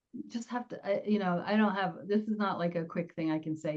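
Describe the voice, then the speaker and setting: Over noticeable background noise, a woman with an American accent speaks at a very fast pace. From New Jersey. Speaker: public speaking coach. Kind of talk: interview.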